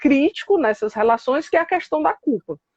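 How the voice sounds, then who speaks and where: A woman speaks in a high voice with very wide pitch swings, and the sound is dry and close, with no echo. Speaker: psychologist and professor. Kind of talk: live online talk on psychoanalysis. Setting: Instagram live video call. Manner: hesitant, many fillers.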